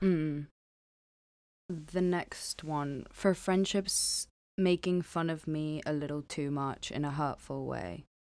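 With a slight non-native accent, the speaker goes at a very slow pace with fairly even intonation. The recording is very clean, with a silent background. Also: woman, very deep, low pitch for a woman. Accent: slight foreign accent in English. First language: not English. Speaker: podcast co-host. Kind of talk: casual chat.

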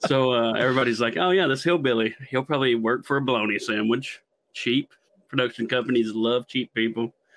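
A man with a strong Appalachian accent, medium pitch, ordinary pitch variation and very even loudness. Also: fairly quick pace. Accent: thick Southeast Kentucky (Appalachian). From Southeast Kentucky. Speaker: cameraman. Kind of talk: podcast interview.

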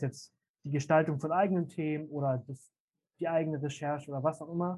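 This man talks at a moderate pace with a fairly high pitch and fairly even intonation. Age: 20s. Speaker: youth seminar team leader. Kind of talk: casual interview. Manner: hesitant with many fillers.

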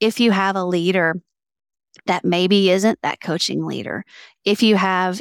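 In a Southern US accent, a woman with a medium pitch and fairly even intonation is heard in a dry, close sound with no echo on a very clean recording with a silent background. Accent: Southern American. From US South. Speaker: entrepreneur and author. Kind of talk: interview conversation.

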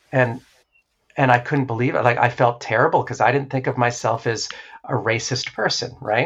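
A man's medium-pitched, unremarkable speaking voice at a moderate pace, with a quiet background. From New Hampshire, US. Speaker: therapist and former stage performer. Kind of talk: interview.

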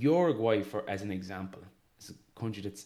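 Speaking very fast, a man has an Irish accent. His tone is dark and mellow. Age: 30s. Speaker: sports podcast host. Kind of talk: casual chat.

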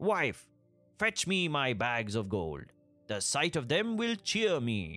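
Over faint music in the background, a man does a growling, put-on character voice with a fairly high pitch, very wide pitch swings and a fairly slow pace.

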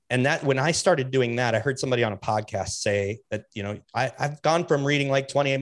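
At a fairly quick pace with hardly any pauses, a man uses a normal speaking voice at a medium pitch with ordinary pitch variation, in a very clean recording with a silent background. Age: 40s. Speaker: podcaster and bike shop owner. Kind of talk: casual chat.

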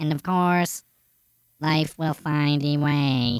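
In a very clean recording with a silent background, a put-on character voice at a low-to-middle pitch proceeds at a very slow pace.

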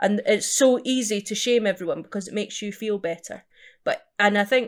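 A woman with a Scottish accent talks at a moderate pace. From eastern Scotland, Edinburgh area. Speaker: jazz musician. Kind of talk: interview.

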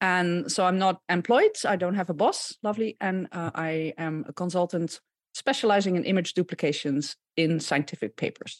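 Against a quiet background, a woman with a Dutch accent and a fairly low pitch talks at a moderate pace with ordinary pitch variation, in a dry, close sound with no echo. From Netherlands (Gouda). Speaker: microbiologist and image fraud consultant. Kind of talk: podcast interview.

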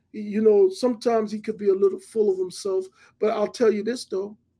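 With a New York accent, a man speaks in a high pitch with a dark, mellow tone and fairly even intonation. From Hollis, Queens, New York City. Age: 50s. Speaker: TV producer. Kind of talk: interview.

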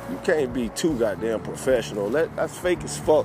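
There is noticeable background noise behind a man speaking. He moves at a moderate pace with very wide pitch swings. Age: 30s. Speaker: podcast host and DJ. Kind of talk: casual monologue. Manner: animated.

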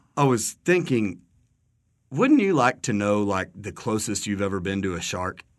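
In a West Texas accent, a man speaks at a moderate pace and fairly low pitch with ordinary pitch variation against a quiet background. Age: 30s. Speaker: podcast host. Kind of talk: casual chat. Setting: studio.

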